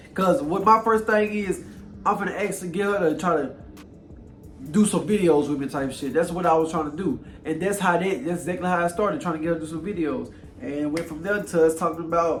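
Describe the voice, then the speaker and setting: Audible room echo follows a man with an American accent who talks at a fairly quick pace in a high pitch with ordinary pitch variation. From Louisiana. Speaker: YouTuber. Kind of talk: casual chat.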